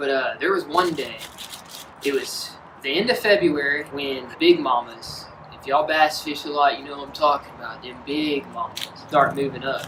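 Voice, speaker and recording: A man's fairly high voice at a moderate pace, with ordinary pitch variation and big swings in loudness, over noticeable background noise. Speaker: fishing video host. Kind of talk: casual chat. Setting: outdoors. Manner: animated; screams when excited.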